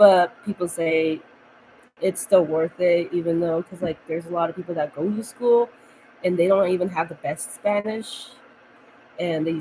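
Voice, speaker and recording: A woman's fairly low-pitched voice at a moderate pace, fairly even in intonation, amid noticeable background noise. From United States, Mexican-American family. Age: 20s. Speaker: vlogger. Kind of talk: casual chat. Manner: rambling, halting.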